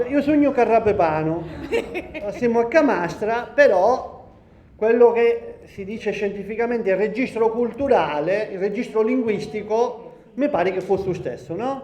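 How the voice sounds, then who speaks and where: The speech moves at a fairly slow pace with ordinary pitch variation, and audible room echo is present. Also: man, high pitch for a man. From Sicily, Valguarnera Caropepe (Gallo-Italic area). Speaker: sociology professor. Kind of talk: public lecture. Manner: halting, many fillers.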